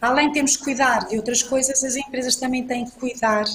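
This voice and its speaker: Noticeable noise sits behind a woman who talks with a high pitch at a moderate pace. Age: 60s. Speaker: panel speaker, business executive. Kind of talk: panel talk. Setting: online event. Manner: hesitant, repeats words.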